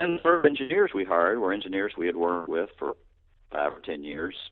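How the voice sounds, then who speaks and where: A man with a Texan accent at a very fast pace. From Texas, Houston. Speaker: tech company co-founder and executive. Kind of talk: interview.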